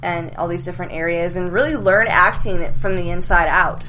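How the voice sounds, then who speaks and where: A woman with an American accent talks at a fairly low pitch and a moderate pace, with ordinary pitch variation, over noticeable background noise and audible room echo. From US West Coast, Silicon Valley. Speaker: actress. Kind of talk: casual chat. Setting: studio.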